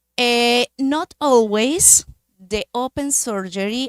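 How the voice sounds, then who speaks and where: A woman speaks with a Spanish accent and ordinary pitch variation in a dry, close sound with no echo. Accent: Spanish accent, non-native English. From Colombia, Manizales. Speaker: medical device industry representative. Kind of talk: conference talk. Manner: hesitant, with fillers.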